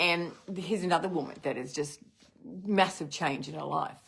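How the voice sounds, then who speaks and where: At a moderate pace, a woman talks with vocal fry and ordinary pitch variation. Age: 60s. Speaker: network marketing business leader. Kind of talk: motivational live stream. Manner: animated.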